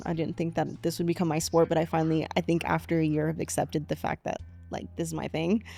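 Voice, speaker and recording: A woman talks extremely fast as music plays behind her. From Colorado, Aurora. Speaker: run club organizer. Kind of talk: casual interview.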